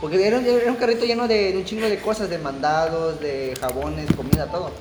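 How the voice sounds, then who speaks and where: A man talks at a fairly quick pace with very wide pitch swings. Noticeable background noise and audible room echo surround him. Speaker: podcast co-host. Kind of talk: casual chat.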